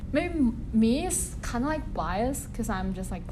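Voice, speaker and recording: Amid noticeable background noise and audible room echo, a woman speaks with a Chinese accent and ordinary pitch variation. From China. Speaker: university student. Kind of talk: casual interview conversation.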